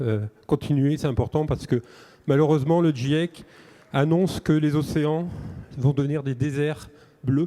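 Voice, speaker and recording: With a northern French accent, a man uses a dark, mellow tone at a fairly high pitch, his intonation fairly even and his pauses long and frequent. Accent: northern French (ch'ti). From northern France (Nord). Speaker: company founder. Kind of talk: acceptance speech. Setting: stage with audience.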